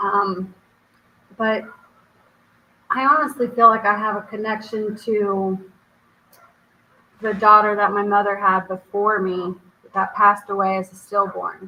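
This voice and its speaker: Speaking at a fairly slow pace, a woman uses medium pitch and fairly even intonation. Her speech has long, frequent pauses. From Germany, then US. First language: German. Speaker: spiritual medium and author. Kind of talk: interview.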